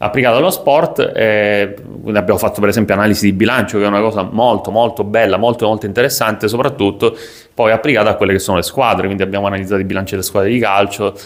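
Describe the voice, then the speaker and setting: Delivery comes at a very fast pace with fairly even intonation. Loudness stays very even throughout. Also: man, fairly low pitch for a man. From Sicily, Italy. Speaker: sports business content creator. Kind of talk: casual vlog monologue. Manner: hesitant, many fillers.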